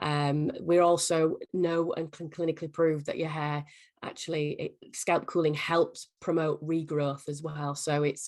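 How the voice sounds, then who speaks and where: A woman with an English accent, very deep and low in pitch, speaking at a fairly slow pace in a monotone, flat intonation. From England. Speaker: company executive. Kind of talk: interview. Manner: halting.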